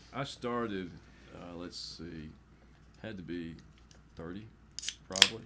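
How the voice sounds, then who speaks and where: A man at a fairly slow pace, with long, frequent pauses, big swings in loudness, and audible room echo. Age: 60s. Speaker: football coach. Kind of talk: casual chat.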